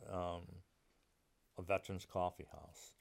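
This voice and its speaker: On a very clean recording with a silent background, a man speaks in an American accent. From Connecticut, Meriden. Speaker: Vietnam war veteran. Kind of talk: casual interview, life story.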